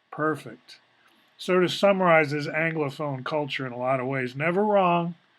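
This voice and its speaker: A man with a fairly high pitch speaks in an ordinary speaking voice at a moderate pace, with ordinary pitch variation. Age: 60s. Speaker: video blogger. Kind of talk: casual monologue.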